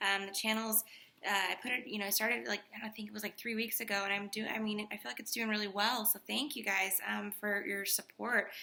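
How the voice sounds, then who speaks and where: Noticeable background noise runs behind a soft-spoken woman. She talks at a fairly quick pace and a medium pitch. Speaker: tarot reader. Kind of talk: tarot reading. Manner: animated.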